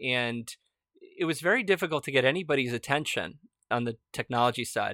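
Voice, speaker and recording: An unremarkable speaking voice with ordinary pitch variation at a fairly quick pace. The recording is very clean, with a silent background and a dry, close sound with no echo. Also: man, medium pitch for a man. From United States, Argentine immigrant parents. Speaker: startup founder and CEO, podcast host. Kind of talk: interview answers, casual conversation.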